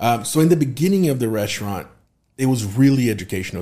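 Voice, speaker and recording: A man with a Portuguese accent speaks at a fairly quick pace in a dark, mellow tone. The recording is very clean, with a silent background. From southern Brazil. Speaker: tequila and spirits content creator. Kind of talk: casual chat.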